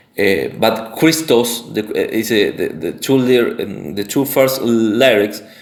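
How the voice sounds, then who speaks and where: Speaking very slowly with a Spanish accent, a man keeps a medium pitch and ordinary pitch variation. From Argentina, Santa Fe. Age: 20s. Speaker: independent researcher / content creator. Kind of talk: monologue presentation. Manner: halting, many fillers and restarts.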